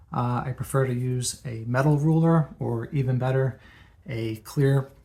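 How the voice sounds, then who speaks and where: A soft-spoken man whispers in a somewhat breathy voice, in a very clean recording with a silent background. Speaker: comic book collector, video creator. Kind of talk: tutorial. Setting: at home, late at night. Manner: soft-spoken, partly whispering.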